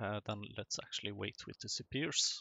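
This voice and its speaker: Speaking fairly slowly, a man talks with a non-native accent. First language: not English. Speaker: gaming YouTuber. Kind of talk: let's play commentary.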